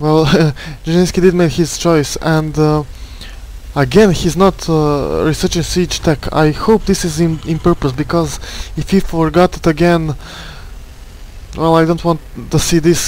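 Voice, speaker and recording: Over noticeable background noise, a man with a non-native accent and a fairly high pitch speaks at a fairly slow pace with fairly even intonation. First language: not English. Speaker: esports caster. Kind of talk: live game commentary. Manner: halting, many fillers and repetitions.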